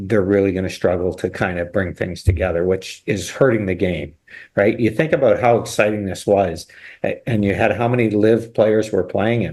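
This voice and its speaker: A plain, everyday voice from a man, fairly low in pitch, with ordinary pitch variation, a moderate pace and a quiet background. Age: 60s. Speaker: golf pro. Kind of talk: casual chat.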